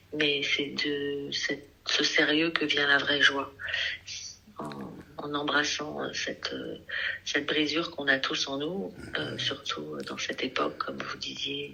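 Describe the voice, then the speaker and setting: A woman at a very slow pace, with long, frequent pauses and noticeable background noise. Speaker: singer and artist. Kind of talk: radio interview. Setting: radio studio.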